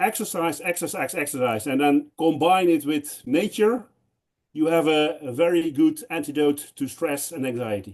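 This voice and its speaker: A man with a Dutch accent, a fairly high pitch, lively intonation and a moderate pace. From Netherlands. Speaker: conference speaker. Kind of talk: panel Q&A discussion.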